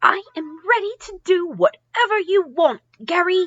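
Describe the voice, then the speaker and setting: Speaking at a moderate pace, a woman adopts a put-on character voice that is squeaky and pitched extremely high. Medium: read story.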